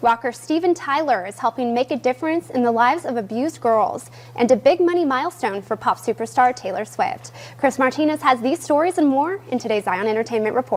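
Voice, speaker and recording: Speaking fairly quickly with an American accent, a woman uses a high pitch and lively intonation amid noticeable background noise. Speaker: TV news anchor and reporter. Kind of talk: TV news anchor delivery.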